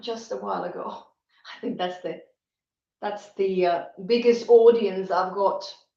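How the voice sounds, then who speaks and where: Over audible room echo, a woman at a medium pitch speaks fairly slowly with ordinary pitch variation, big swings in loudness and long, frequent pauses. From Finland. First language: Finnish. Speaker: YouTuber reading poetry. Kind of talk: casual live stream chat. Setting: live stream on a tablet. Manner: halting, with restarts.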